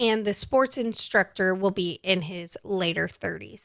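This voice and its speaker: On a very clean recording with a silent background, a woman speaks at a fairly slow pace, her pitch medium with ordinary variation. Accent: Texan. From Texas. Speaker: podcast host. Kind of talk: podcast narration.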